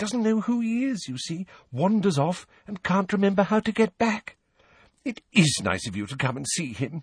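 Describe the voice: In a put-on character voice, a man speaks at a moderate pace with a high pitch, big pitch swings and a slightly husky edge, the sound dry and close with no echo.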